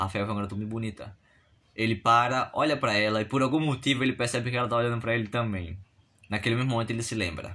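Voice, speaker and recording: On a very clean recording with a silent background, a man at a medium pitch speaks at a very fast pace in a bright, sharp tone. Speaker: content creator. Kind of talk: storytelling.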